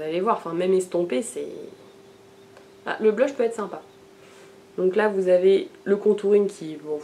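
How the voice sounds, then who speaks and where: A woman at medium pitch, with big swings in loudness, long, frequent pauses and noticeable background noise. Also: ordinary pitch variation, fairly slow pace. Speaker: beauty vlogger. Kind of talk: casual haul video talk. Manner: hesitant, many fillers.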